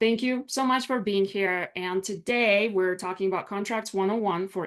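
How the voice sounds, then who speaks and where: With a Russian accent, a woman speaks at a medium pitch and moderate pace, showing ordinary pitch variation over a quiet background. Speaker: business attorney. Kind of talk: online workshop presentation.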